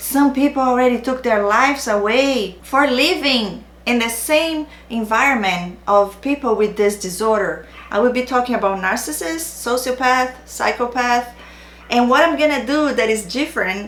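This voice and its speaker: A woman speaks at a moderate pace in a high pitch with ordinary pitch variation and a Brazilian accent. Audible room echo and noticeable background noise surround her voice. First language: Portuguese. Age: 40s. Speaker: narcissistic abuse awareness YouTuber. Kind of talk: direct-to-camera channel introduction. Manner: non-native, occasional hesitations.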